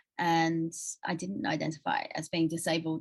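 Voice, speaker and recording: Fairly low-pitched speech from a woman with an Australian accent. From rural New South Wales, Australia. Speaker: writer and interviewer. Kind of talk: interview conversation.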